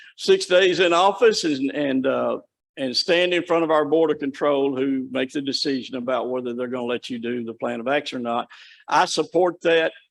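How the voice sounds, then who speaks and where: This is a normal speaking voice from a man, fairly high in pitch with ordinary pitch variation. He speaks at a moderate pace over a quiet background. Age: 60s. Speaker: state corrections official presenting to county commission. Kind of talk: presentation at public meeting.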